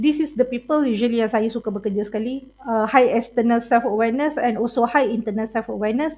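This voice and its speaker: A woman talks at a fairly high pitch and a moderate pace, with ordinary pitch variation. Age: 40s. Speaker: university lecturer. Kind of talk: lecture. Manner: code-switching Malay and English, many fillers.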